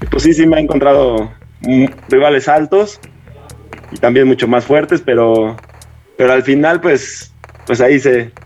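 Music plays in the background as a man with a Mexico City accent speaks. His pitch is medium, with ordinary variation, at a moderate pace. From Mexico, Atizapán, State of Mexico. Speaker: professional basketball player. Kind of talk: interview.

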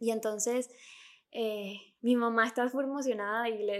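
A woman with a Venezuelan accent, high-pitched, at a fairly slow pace. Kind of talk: casual chat. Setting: remote recording.

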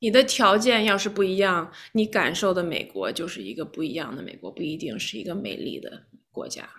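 With lively intonation and vocal fry, a woman talks at a fairly quick pace with hardly any pauses. Her medium-pitched voice has big swings in loudness. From China, Shijiazhuang (left at 7), raised in New York. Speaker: lawyer and memoir author. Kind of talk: interview. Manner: halting.

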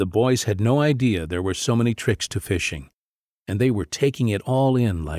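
Quiet background with an unforced reading voice

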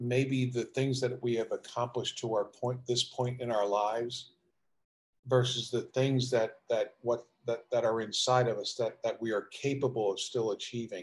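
With an American accent, a man talks at a moderate pace and medium pitch, somewhat breathy and monotone, his intonation flat. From South Jersey, near Philadelphia. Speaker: basketball coach and executive. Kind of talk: interview.

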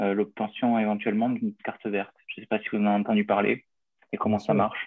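The speaker is a man with a fairly low pitch. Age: 30s. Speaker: small business owner, would-be emigrant. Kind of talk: question in live Q&A. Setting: video call.

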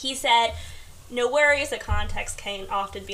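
A woman with an American accent at a fairly slow pace, over noticeable background noise. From US, Queens, New York. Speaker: podcast guest. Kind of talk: casual chat. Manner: soft-spoken.

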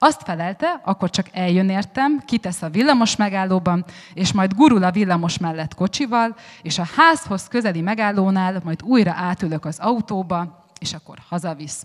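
In a normal speaking voice, the speaker moves at a moderate pace with lively intonation. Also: woman, medium pitch for a woman. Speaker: writer. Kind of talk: panel discussion on stage. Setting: festival stage with audience.

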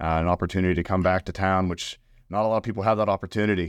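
Against a quiet background, a man talks at a very fast pace in a western Pennsylvania accent. His pitch is very deep and low, with monotone, flat intonation. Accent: western Pennsylvania American. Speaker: family business manager. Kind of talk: interview.

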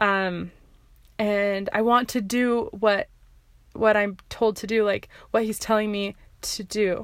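A woman with a fairly high pitch speaks very slowly in a flat monotone, with long, frequent pauses, on a very clean recording with a silent background. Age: 20s. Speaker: podcast host, marketing coach. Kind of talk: personal storytelling monologue. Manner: halting, many fillers and restarts; laughs often.

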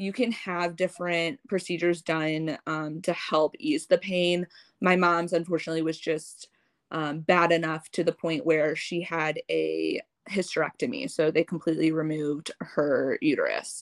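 With an American accent, a plain, everyday voice speaks at a moderate pace with fairly even intonation, the sound dry and close with no echo over a quiet background. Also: woman, fairly low pitch for a woman. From US Midwest, St. Louis. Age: 20s. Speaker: adoptee sharing her story. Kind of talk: casual interview.

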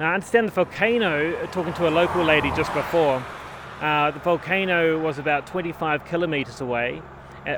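A man's fairly high voice with a New Zealand accent against noticeable background noise. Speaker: podcast host, cycle tourist. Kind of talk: casual chat. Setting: outdoors.

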